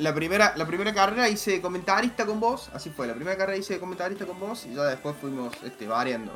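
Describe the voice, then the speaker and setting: A man with a Rioplatense accent speaks at a very fast pace with hardly any pauses, his high voice swinging very widely in pitch amid noticeable background noise. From Argentina. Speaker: motorsport commentator. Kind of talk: casual chat. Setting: voice call.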